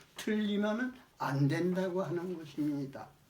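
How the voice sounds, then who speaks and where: Speech comes at a very slow pace with ordinary pitch variation over noticeable background noise. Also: man. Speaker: elderly retired pastor giving a sermon. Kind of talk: sermon, religious teaching.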